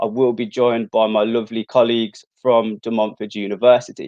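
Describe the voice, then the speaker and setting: A man with a Brummie accent at a moderate pace. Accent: Brummie (Birmingham). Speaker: university outreach presenter. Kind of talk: live stream presenting.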